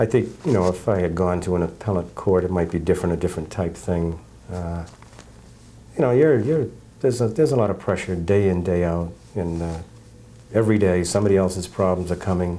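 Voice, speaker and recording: At a fairly quick pace, a man with a very deep, low voice speaks with ordinary pitch variation and long, frequent pauses. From New Hampshire. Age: 60s. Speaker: judge. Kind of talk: interview.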